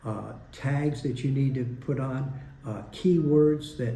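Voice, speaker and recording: A man speaks at a medium pitch with fairly even intonation. His tone is dark and mellow and somewhat breathy. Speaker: retired expat YouTuber. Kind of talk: casual talk to camera.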